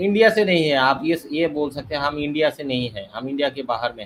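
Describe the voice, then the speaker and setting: Pitched fairly high, a man talks with a non-native accent. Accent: non-native Hindi speaker. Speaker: debate caller. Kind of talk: debate. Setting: online live stream. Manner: halting.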